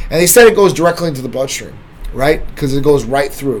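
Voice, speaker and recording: A man speaks with a fairly high pitch and ordinary pitch variation. Noticeable background noise is present. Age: 40s. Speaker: livestream host and medical clinic CEO. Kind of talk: casual livestream talk answering viewer comments. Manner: casual and conversational.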